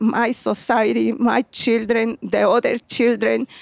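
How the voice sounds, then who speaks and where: Her speech has vocal fry and a fairly slow pace, in a Mexican accent. The woman's sound is dry and close, with no echo. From Mexico, Puebla. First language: Spanish. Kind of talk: interview on garden tour. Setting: outdoors.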